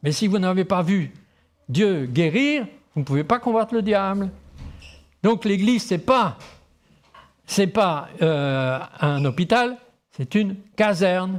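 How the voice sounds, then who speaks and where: Taking long, frequent pauses, a man speaks at a very slow pace in a high voice. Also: lively intonation, very even loudness. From Tahiti, French Polynesia. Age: 60s. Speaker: pastor. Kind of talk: sermon.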